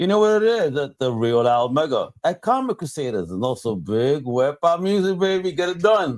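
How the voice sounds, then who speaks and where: A man speaks with very wide pitch swings and hardly any pauses, on a very clean recording with a silent background. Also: fairly high pitch for a man, moderate pace. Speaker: podcast guest.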